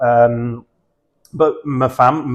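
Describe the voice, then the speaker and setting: A man at medium pitch with an Essex accent. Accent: southern English (Essex). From Essex, south-east England. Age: 40s. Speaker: football fan guest. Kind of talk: casual podcast chat.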